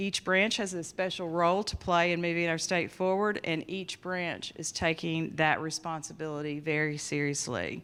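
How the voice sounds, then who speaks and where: A woman in a Southern accent, fairly low in pitch, fairly even in intonation and with hardly any pauses, in a very clean recording with a silent background. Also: moderate pace. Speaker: judge, mental health commission chair. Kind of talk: conference opening remarks.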